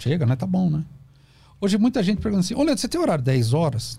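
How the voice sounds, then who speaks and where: The man's voice is fairly high in pitch yet dark and mellow in tone, moving in very wide pitch swings. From Brazil, São Paulo (ABC region). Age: 50s. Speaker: psychoanalyst. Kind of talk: podcast interview, explanatory talk. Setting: studio.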